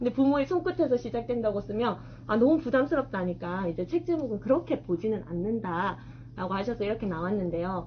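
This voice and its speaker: This woman talks at a fairly quick pace with hardly any pauses, at medium pitch, with very wide pitch swings. She has a strong Gyeongsang accent. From South Gyeongsang, Korea (Changwon, Masan). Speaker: middle school math teacher and author. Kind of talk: author talk to an audience. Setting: bookstore event with live audience.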